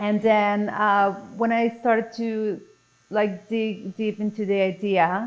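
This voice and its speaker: A woman with a Mexican accent, fairly high in pitch, monotone with flat intonation, at a very slow pace, in a very clean recording with a silent background. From Mexico City, Mexico. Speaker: podcast guest. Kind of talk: casual interview chat.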